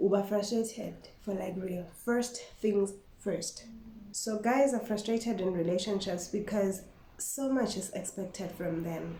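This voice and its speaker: A woman's medium-pitched voice at a fairly slow pace, with fairly even intonation, audible room echo and noticeable background noise. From Eswatini (Swati-speaking). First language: Siswati. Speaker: vlogger. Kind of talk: casual vlog monologue. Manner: code-switching with Siswati.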